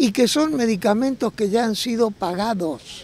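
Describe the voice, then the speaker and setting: The voice shows ordinary pitch variation in a dry sound with no echo. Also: man. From Argentina. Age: 70s. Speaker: retiree activist. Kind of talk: street interview, political complaint. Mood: indignant, critical. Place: street. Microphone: handheld.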